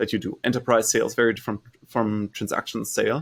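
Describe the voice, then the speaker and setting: A man talks at a very fast pace with a German accent. The recording is dry and close, without any echo. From Germany. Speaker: startup founder and CEO. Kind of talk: interview.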